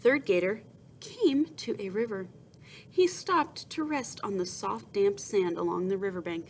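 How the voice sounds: The voice heard is a natural reading voice.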